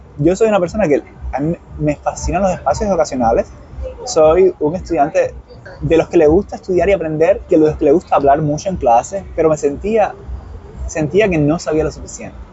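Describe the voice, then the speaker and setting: A man speaks at a fairly quick pace. Noticeable background noise is audible. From Cuba, Santiago de Cuba. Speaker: nonprofit worker. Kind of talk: interview. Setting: outdoors. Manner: fast.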